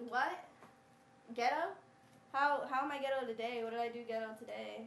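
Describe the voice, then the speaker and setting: A woman with an American accent talks loudly and at a fairly quick clip in a high, animated voice with ordinary pitch variation, long and frequent pauses, and audible room echo. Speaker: panelist on relationship advice show. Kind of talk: heated debate.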